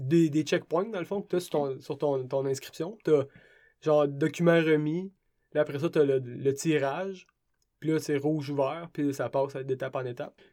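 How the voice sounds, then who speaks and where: A dark, mellow tone in a Quebec accent, at a moderate pace. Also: man, fairly high pitch for a man, fairly even intonation, very clean recording, silent background. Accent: Québécois French. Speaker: ultra-trail runner. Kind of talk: interview.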